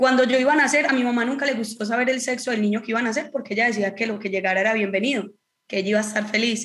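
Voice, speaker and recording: A woman's fairly high voice carries fairly even intonation. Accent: Antioquian. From Colombia, Antioquia (Marinilla). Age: 30s. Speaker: professional footballer. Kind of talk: casual chat.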